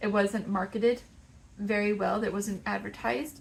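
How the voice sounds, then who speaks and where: With a Texas accent, a woman speaks at a medium pitch with fairly even intonation. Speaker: crochet maker and market vendor. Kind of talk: casual vlog talk.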